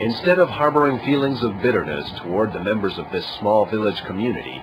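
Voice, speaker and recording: A man talks very fast at a medium pitch, with very wide pitch swings. Noticeable background noise sits behind him. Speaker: military news reporter. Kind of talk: news report voiceover.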